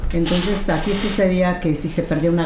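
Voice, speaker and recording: This woman has a fairly low pitch and speaks at a moderate pace. Noticeable background noise and audible room echo fill the recording. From Mexico City. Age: 70s. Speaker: storyteller. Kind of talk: storytelling interview.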